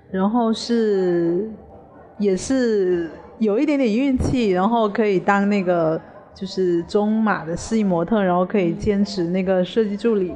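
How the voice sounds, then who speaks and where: At a fairly slow pace, a woman speaks at a medium pitch with ordinary pitch variation over noticeable background noise. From Hainan, China. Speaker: fashion designer. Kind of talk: interview.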